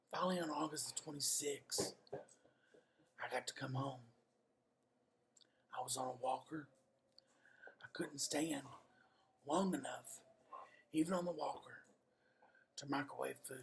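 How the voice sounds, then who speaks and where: A man's somewhat breathy, fairly high voice with a Kentucky accent, fairly even intonation and long, frequent pauses. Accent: US Southern (Kentucky). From Kentucky (Somerset). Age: 50s. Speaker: real estate agent. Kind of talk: personal testimony. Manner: halting, pauses between sentences.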